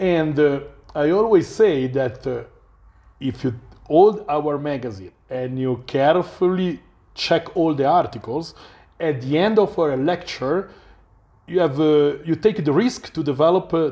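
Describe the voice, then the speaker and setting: Against a quiet background, a man speaks in an Italian accent with a fairly high pitch. His tone is dark and mellow and his intonation lively. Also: fairly slow pace. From Italy. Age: 40s. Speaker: journalist. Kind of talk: interview. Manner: halting.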